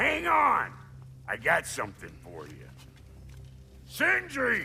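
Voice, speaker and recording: Using a put-on character voice, a man speaks at a fairly slow pace over clear background noise. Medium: video game. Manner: gruff, sarcastic.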